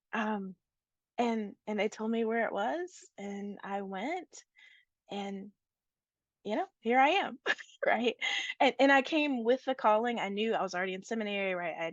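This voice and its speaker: In an American accent, a woman talks at a fairly slow pace and fairly high pitch, with lively intonation, long and frequent pauses, a dry, close sound with no echo, and a quiet background. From rural Appalachia, USA. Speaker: priest and state senator. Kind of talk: interview answer.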